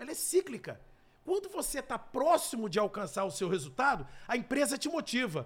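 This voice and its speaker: A man speaks at an extremely high pitch and a fairly quick pace. His pitch swings very widely. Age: 50s. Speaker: sales trainer and speaker. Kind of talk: interview.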